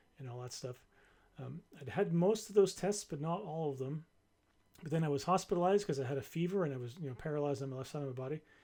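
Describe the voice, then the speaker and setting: A man speaks very fast, his fairly high voice somewhat breathy with a dark, mellow tone. His pitch varies in an ordinary way while his loudness swings widely. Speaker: vlogger recovering from brain surgery. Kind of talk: casual personal update vlog. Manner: halting, many repetitions and fillers.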